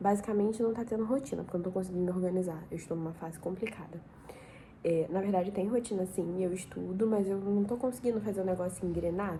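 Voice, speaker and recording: A woman with a medium-pitched, dark, mellow, somewhat breathy voice talks at a very fast pace. Her intonation stays fairly even, and the room echo is audible. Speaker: vlogger, law student. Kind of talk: casual vlog chat. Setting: living room at home, at night.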